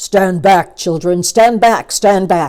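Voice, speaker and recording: Shouting in a put-on character voice, a woman speaks at a very slow pace and a medium pitch. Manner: shouting, commanding.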